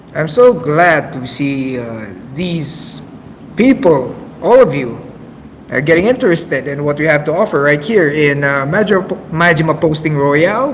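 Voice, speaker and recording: The intonation is lively and the pace moderate. Noticeable background noise sits behind the voice. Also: man, fairly high pitch for a man. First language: not English. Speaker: amateur radio host. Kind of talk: casual radio show hosting. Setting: online voice chat server. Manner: halting, many fillers.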